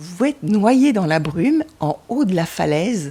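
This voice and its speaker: Her medium-pitched voice has a dark, mellow tone and is somewhat breathy. The woman's pitch swings very widely. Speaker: traveller. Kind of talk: travel storytelling. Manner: halting.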